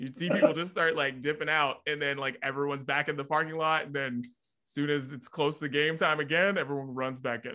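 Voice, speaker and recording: With an American accent, a man talks at a fairly quick pace with hardly any pauses, his fairly high pitch carrying a bright, sharp tone. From West Virginia, Brooke County (Wellsburg). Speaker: radio and TV personality. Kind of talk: casual interview chat. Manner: animated.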